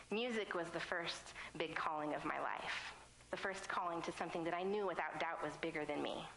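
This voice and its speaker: A woman with an American accent, fairly low in pitch, at a fairly quick pace with fairly even intonation and very even loudness, plus audible room echo and noticeable background noise. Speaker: ministry student. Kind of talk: sermon. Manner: fast.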